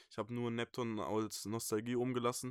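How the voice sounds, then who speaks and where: Monotone, flat intonation marks this man's delivery at a moderate pace. The recording is very clean, with a silent background. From Germany, Franconia (Bamberg, Bavaria). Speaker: music producer and rapper. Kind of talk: casual interview.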